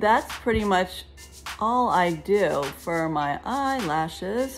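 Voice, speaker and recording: Very wide pitch swings at a very slow pace, with faint music in the background. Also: woman, medium pitch for a woman. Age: 50s. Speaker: life and relationship coach. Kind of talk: casual talk to camera. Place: home room. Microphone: phone near.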